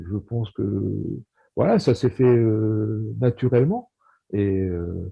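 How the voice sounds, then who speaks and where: At a very slow pace with long, frequent pauses, a somewhat breathy man with fairly low pitch speaks with ordinary pitch variation. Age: 60s. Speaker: high school maths and physics teacher. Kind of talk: casual chat. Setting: video call. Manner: halting.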